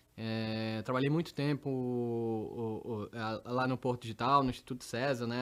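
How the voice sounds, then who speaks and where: The speaker talks with a Pernambuco accent and fairly even intonation. The recording is very clean, with a silent background. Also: man. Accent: Pernambuco accent, noticeable. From Recife, Pernambuco, Brazil. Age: middle-aged. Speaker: tech executive. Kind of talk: interview. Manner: hesitant, many repetitions.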